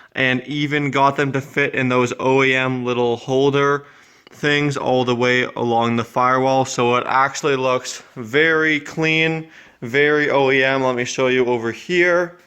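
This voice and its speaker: Noticeable background noise sits behind a man speaking at a fairly slow pace. His intonation is flat and monotone, his loudness very even. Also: medium pitch for a man. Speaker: car mechanic vlogger. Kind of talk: tutorial. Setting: home garage. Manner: casual, with filler words.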